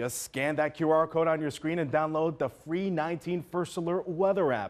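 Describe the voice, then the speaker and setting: A man with an ordinary speaking voice, fairly high in pitch, at a fairly quick pace over a quiet background. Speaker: news anchor. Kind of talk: TV news anchor read. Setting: studio.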